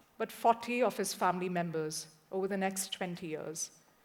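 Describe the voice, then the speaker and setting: At a fairly slow pace, a woman with a Punjabi accent speaks at a medium pitch with ordinary pitch variation. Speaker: journalist. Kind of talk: talk to an audience.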